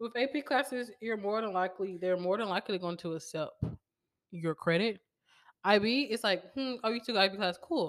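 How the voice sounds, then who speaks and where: Her tone animated, a woman talks at a fairly quick pace and medium pitch, with ordinary pitch variation. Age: 20s. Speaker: podcast co-host, education student. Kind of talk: casual chat.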